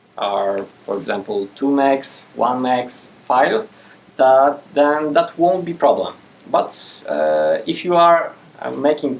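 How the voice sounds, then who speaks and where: Speaking with a Polish accent, a man uses lively intonation at a fairly high pitch and a fairly slow pace. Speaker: game programmer giving a conference talk. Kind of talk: technical talk with Q&A. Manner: hesitant, many fillers. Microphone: speaking without a mic.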